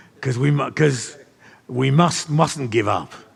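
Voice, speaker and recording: With music in the background, a man speaks at a fairly slow pace in a medium pitch and fairly even intonation. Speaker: church leader and trainer of leaders. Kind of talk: teaching session with audience questions.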